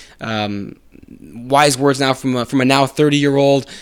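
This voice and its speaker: Here is a plain, everyday voice with an American accent. It moves at a moderate pace with fairly even intonation. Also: man. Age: 30s. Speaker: podcast host. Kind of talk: solo casual podcast monologue. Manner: casual, many filler words.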